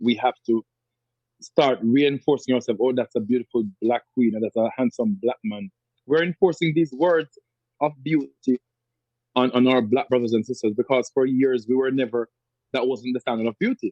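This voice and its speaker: At a moderate pace, a man talks with a Jamaican accent. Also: medium pitch for a man, ordinary pitch variation. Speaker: radio show host and poet. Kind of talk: interview answer.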